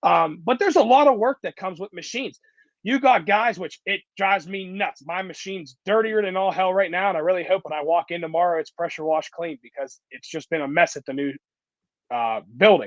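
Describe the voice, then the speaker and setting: With a dry, close sound and no echo, a high-pitched man speaks at a fairly quick pace in an animated tone, his intonation lively and his loudness swinging widely. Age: 20s. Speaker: concrete contractor. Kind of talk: interview. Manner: casual, animated.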